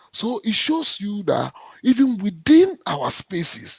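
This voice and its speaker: A man talks in a Ghanaian accent. His pace is very slow, and his pitch swings very widely. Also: dry, close sound with no echo. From Ghana, Accra. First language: Ga. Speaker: cultural heritage official. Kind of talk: panel discussion. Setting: video call. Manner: halting.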